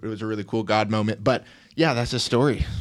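A man with a Tennessee accent talks at a moderate pace and fairly low pitch. His intonation is fairly even, and the recording is very clean with a silent background. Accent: Tennessee Southern. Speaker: fitness coach. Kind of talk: casual chat; sales pitch. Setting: studio.

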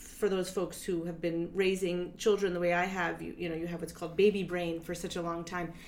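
Monotone, flat delivery from a woman at a fairly quick pace, hardly any pauses, and audible room echo. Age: 40s. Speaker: dance artist and performer. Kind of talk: interview. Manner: hesitant, many filler words.

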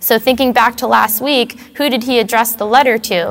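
With an ordinary speaking voice, a woman talks at a fairly high pitch with fairly even intonation. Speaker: Bible study leader. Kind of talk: Bible study lesson with prayer.

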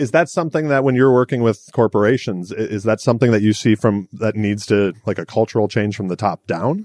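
A plain, everyday voice talks at a fairly quick pace with hardly any pauses and ordinary pitch variation. The background is quiet, and the sound is dry and close with no echo. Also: man, medium pitch for a man. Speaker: podcast host. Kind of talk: interview conversation. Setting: conference in Miami Beach.

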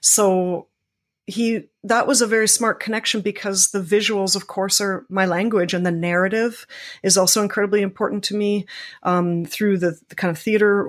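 A woman speaks at a moderate pace in an ordinary speaking voice, her pitch medium and her intonation fairly even, with a Canadian accent. The recording is very clean, with a silent background. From Canada, Scarborough (Toronto). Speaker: visual artist. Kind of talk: interview.

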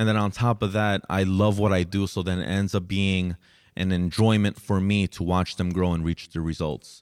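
Fairly even intonation and a moderate pace come through in a very clean recording with a silent background. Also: man, very deep, low pitch for a man. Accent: American. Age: 20s. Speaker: fitness trainer. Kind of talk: casual monologue. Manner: laid back, many fillers.

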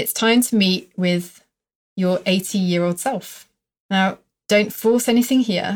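With a normal speaking voice, a woman at medium pitch talks at a fairly slow pace, using ordinary pitch variation. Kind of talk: guided meditation. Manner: slow, calm, soothing, gently instructing.

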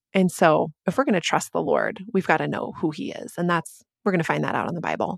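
A woman speaks very fast, with lively intonation and vocal fry. The sound is dry and close, with no echo. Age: 40s. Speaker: author and church planter's wife. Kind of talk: casual interview.

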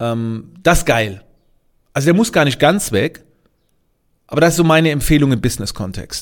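Pitch varies in an ordinary way as the speech holds a moderate pace. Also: man. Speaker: podcaster and business coach. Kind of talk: casual podcast monologue.

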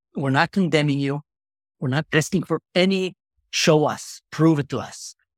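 A man speaks in a passionate tone with an Arabic accent and ordinary pitch variation. The recording is very clean and dry, close with no echo and a silent background. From Israel. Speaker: social media content creator. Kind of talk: interview.

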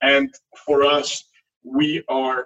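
The voice carries a French accent. The sound is dry and close, with no echo. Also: man. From France. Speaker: hedge fund founder. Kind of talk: interview.

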